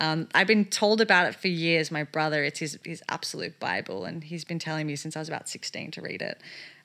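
A woman with a very deep, low pitch and a bright, sharp tone, in an Australian accent, talking at a fairly quick pace with hardly any pauses, ordinary pitch variation and big swings in loudness, on a very clean recording with a silent background. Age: 20s. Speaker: photographer. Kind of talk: casual chat. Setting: her bedroom at her family home.

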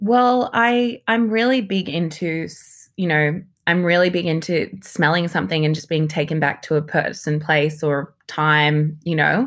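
A woman speaks in an Australian accent at a fairly slow pace, with hardly any pauses. Her fairly low voice has lively intonation, and the recording is very clean with a silent background. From Sydney, Australia. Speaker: model, journalist and presenter. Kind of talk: casual chat.

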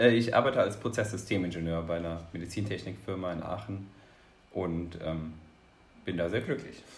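Amid audible room echo, a man with a very deep, low, somewhat breathy voice speaks at a moderate pace with ordinary pitch variation and long, frequent pauses. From Rhineland-Palatinate, Ahr valley. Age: 20s. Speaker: cheerleader, engineer. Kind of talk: interview.

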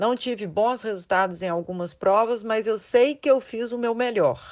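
A woman at medium pitch and a moderate pace, with ordinary pitch variation, over a quiet background. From Brazil, Belo Horizonte (Minas Gerais). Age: 30s. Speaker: mountain bike athlete and dentist. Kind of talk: interview.

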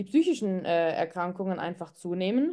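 Against a quiet background, a woman speaks at a moderate pace with a dark, mellow tone. Her pitch varies in an ordinary way. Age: 30s. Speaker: physician and psychotherapist. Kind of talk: interview.

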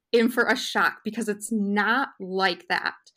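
A woman's fairly high pitch at a fairly slow pace, in a very clean recording with a silent background. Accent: Upper Midwest. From Wisconsin, US. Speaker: food scientist, postdoc. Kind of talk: casual interview.

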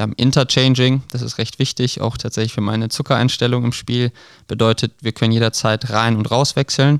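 Monotone and flat, a man talks at a medium pitch and a fairly quick pace. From western Germany, Krefeld. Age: 20s. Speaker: field hockey player and medical student. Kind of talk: podcast interview. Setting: studio.

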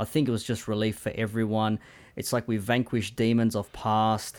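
A man with an Australian accent, fairly low pitch, monotone, flat intonation, and a moderate pace. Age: 30s. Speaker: soccer podcaster, Liverpool fan. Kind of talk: casual chat, remote interview.

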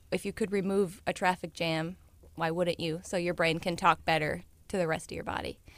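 A woman speaks in a normal speaking voice with an American accent. Her pitch sits fairly low. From US Midwest, St. Louis, Missouri. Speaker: chiropractor. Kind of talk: radio interview.

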